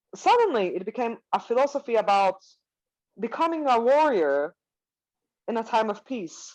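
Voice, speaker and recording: A woman speaks with a Swiss accent and lively intonation at a moderate pace. The background is quiet. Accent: Swiss, non-native English. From Switzerland. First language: not English. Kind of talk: interview. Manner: halting, frequent fillers and self-corrections.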